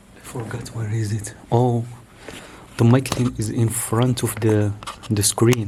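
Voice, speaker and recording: A man with a non-native accent, medium-pitched and flat, almost monotone, at a fairly slow pace with long, frequent pauses over noticeable background noise. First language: not English. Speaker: YouTuber reviewing gear. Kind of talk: casual unboxing vlog. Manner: halting, many fillers and restarts. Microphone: far from the camera; camera built-in mic.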